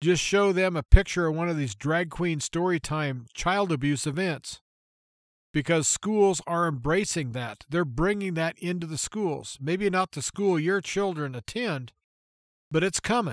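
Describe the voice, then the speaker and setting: High male voice with ordinary pitch variation, dry and close with no echo, in a very clean recording with a silent background. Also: fairly slow pace. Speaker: radio host. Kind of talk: talk radio monologue. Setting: studio.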